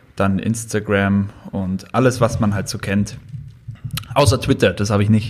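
Speaking in a fairly low pitch with monotone, flat intonation, a man keeps a moderate pace broken by long, frequent pauses. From Allgäu, southern Germany. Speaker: fitness social media creator and student. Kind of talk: casual chat.

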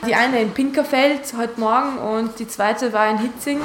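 A woman speaks with a fairly high pitch and fairly even intonation. The room echo is audible, and background noise is noticeable. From Georgia, partly raised in Hungary. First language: Hungarian / Georgian (speaking German). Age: 20s. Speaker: Europe activist, former actress. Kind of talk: talk mixed with reading aloud from her book. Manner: hesitant, repeats words.

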